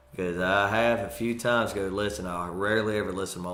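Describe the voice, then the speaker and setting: With a Mississippi accent, a man speaks at a very deep, low pitch amid audible room echo. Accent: US Southern (Mississippi). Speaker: comedian. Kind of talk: casual interview chat.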